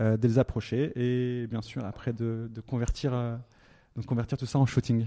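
Recorded dry and close with no echo, a man speaks at a medium pitch in a dark, mellow tone with fairly even intonation. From France, Haute-Savoie. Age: 30s. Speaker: entrepreneur. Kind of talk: interview. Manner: hesitant, many fillers.

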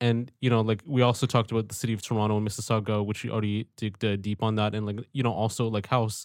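In a monotone, flat delivery, a man with a fairly low pitch speaks at a very fast pace. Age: 20s. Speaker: podcast host. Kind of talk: casual interview. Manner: hesitant, many filler words.

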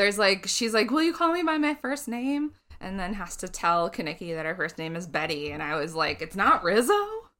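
Her pitch sits at a medium level but swings very widely. The woman talks at a fairly quick pace with hardly any pauses. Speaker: podcast co-host. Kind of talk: casual comedy chat.

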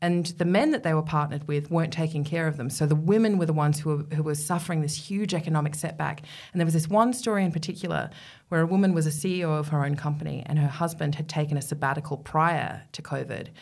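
Very fast and somewhat breathy, a woman with an Australian accent speaks at a very deep, low pitch with fairly even intonation. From Middle East, England and Australia. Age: 40s. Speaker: feminist writer and broadcaster. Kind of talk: interview conversation. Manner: talkative.

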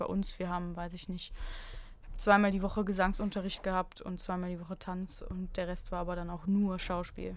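The woman's voice has a medium pitch and a monotone, flat intonation at a moderate pace. Audible room echo fills the recording. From Germany, Aachen. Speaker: comedian. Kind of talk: casual chat.

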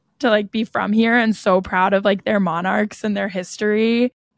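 This speaker has a normal speaking voice and a General American accent, talking at a fairly slow pace with fairly even intonation. The sound is dry and close with no echo, and the recording is very clean with a silent background. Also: woman. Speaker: podcast host, college student. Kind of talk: casual chat.

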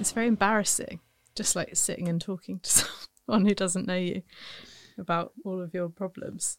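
A woman speaks in a normal speaking voice at medium pitch and moderate pace, with fairly even intonation and a dry, close sound with no echo. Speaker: podcast host and comedian. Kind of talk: casual chat.

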